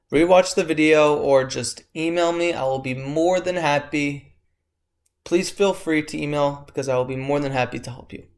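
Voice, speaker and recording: A man's unremarkable speaking voice, fairly high in pitch, with fairly even intonation, big swings in loudness and a moderate pace, on a very clean recording with a silent background. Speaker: math tutor. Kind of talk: tutorial.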